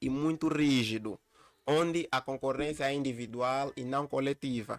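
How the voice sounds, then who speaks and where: The speech moves at a moderate pace with fairly even intonation, and the sound is dry and close with no echo. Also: man. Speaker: university lecturer. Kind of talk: lecture. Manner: halting, repeats words.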